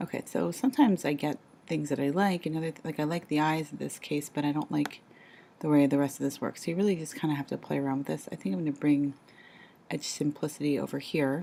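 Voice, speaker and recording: Whispering, a woman talks at a very fast pace. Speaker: art teacher making a tutorial. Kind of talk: tutorial. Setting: at home. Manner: halting, many fillers.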